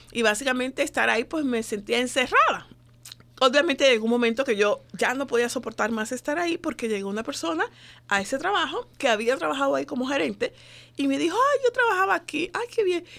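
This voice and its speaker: With a high pitch and a bright, sharp tone, a woman talks at a fairly quick pace, her pitch swinging very widely. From Dominican Republic. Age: 40s. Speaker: women's organization founder. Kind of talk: radio interview. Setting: studio.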